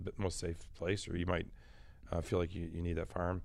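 Speaking very quickly, this man has an American accent. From Michigan, US Midwest. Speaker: optics company executive. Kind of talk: interview. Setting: studio.

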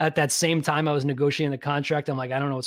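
A man talks with a New York accent. His voice is fairly high-pitched. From New York (Long Island). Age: 30s. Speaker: physical therapist and podcaster. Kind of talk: casual interview chat. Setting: video call.

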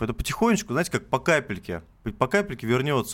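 Recorded very cleanly against a silent background, a man talks at a very fast pace as his pitch swings very widely. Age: 20s. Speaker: cheesemaker and farmer. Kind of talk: radio interview. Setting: radio studio.

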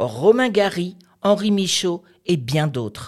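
A woman speaks at a very slow pace with very wide pitch swings. The recording is very clean, the background silent. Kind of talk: radio chronicle, introducing a poem.

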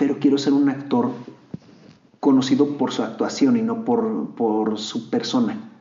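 A man's voice makes very wide pitch swings. Audible room echo surrounds it. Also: fairly high pitch for a man, fairly slow pace. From Mexico, Monterrey. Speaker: actor. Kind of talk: interview.

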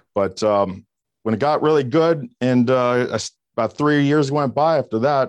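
With an American accent, a man uses an unremarkable speaking voice at a moderate pace, ordinary pitch variation and a quiet background. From US South, Miami area, Florida. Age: 50s. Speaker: keynote speaker and real estate trainer. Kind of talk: interview.

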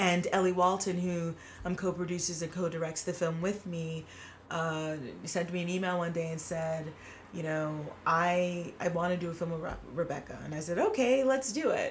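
A woman with an American accent speaks in a fairly low pitch with fairly even intonation. Audible room echo surrounds her voice. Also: moderate pace. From New York City (Queens). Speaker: filmmaker and theater artist. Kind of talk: casual chat.

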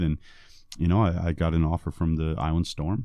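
Against a quiet background, a man with an American accent and a very deep, low pitch speaks at a fairly quick pace with a dark, mellow tone and fairly even intonation. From US Northeast, Vermont. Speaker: basketball head coach. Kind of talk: interview. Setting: studio.

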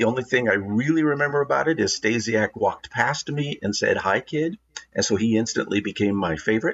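With a West Coast accent, a man talks at medium pitch and a moderate pace, his intonation lively. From Oregon, Portland area. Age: 60s. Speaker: wrestling historian and former TV announcer. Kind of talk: casual interview. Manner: halting, many fillers.

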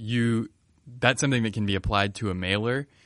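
Here a man with an ordinary speaking voice talks at a medium pitch and a moderate pace. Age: 20s. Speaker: podcast co-host. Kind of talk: casual chat; scripted segment. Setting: studio.

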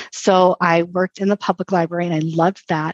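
In a normal speaking voice, a woman speaks fairly quickly at a fairly low pitch with fairly even intonation, the sound dry and close with no echo. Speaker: librarian and author. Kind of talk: casual interview.

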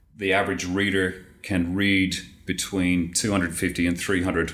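A man speaks with an Australian accent in a very deep, low voice. His intonation stays fairly even. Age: 50s. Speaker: tax software consultant. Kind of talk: interview.

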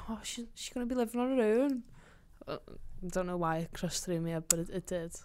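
With a Liverpool accent, a woman speaks at a fairly quick pace in a dark, mellow tone, using ordinary pitch variation and long, frequent pauses. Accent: Scouse. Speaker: podcast host. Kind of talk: casual banter chat.

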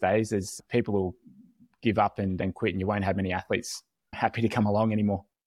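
In an Australian accent, a man talks at a fairly quick pace with a fairly low pitch and a monotone, flat intonation. The recording is very clean with a silent background, and the sound is dry and close with no echo. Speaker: podcast host, swim coach. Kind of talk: casual interview.

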